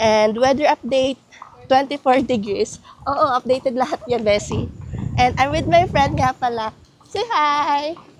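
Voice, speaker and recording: A woman with a high voice speaks fairly slowly, with ordinary pitch variation. Noticeable background noise sits behind her. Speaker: travel vlogger. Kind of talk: vlog narration.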